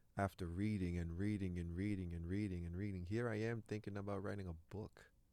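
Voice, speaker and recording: A man speaks at a fairly quick pace with a Canadian accent. His very deep, low voice has a dark, mellow tone and monotone, flat intonation. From Canada, Toronto (French-speaking family). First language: French. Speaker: actor. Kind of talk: interview.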